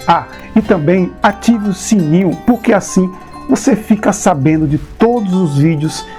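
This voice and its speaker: Over music in the background, a man talks at a fairly slow pace in a high pitch with very wide pitch swings. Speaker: channel owner and presenter. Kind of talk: casual talk to camera, video intro.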